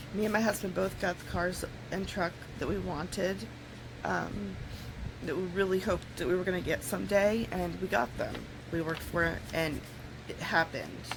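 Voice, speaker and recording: Noticeable background noise and audible room echo surround a woman's voice. Her pitch is fairly low, with ordinary variation. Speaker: vlogger. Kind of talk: casual vlog talk. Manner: slightly slurred speech; halting, with fillers.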